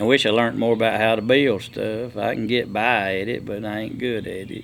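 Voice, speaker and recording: A man with a rural Southern US accent speaks at a fairly quick pace and medium pitch, in monotone, flat intonation with big swings in loudness, amid audible room echo. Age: 60s. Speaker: logger and sawmill owner. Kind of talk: casual chat.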